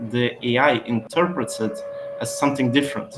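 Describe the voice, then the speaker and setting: Against noticeable background noise, a man with a non-native accent speaks at a moderate pace. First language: not English. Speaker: SEO expert. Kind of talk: webinar Q&A.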